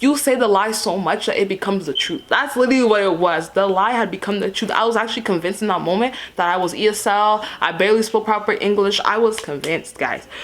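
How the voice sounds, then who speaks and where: With noticeable background noise behind her, a woman talks very fast with hardly any pauses in a fairly high, animated voice with ordinary pitch variation. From Canada. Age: 20s. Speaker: beauty content creator. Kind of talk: storytime vlog.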